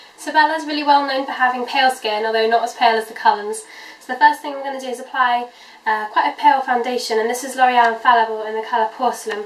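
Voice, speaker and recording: Talking at a very fast pace over noticeable background noise, a woman uses a high pitch with fairly even intonation and big swings in loudness. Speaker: beauty vlogger. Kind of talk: makeup tutorial. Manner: casual, many 'um' fillers.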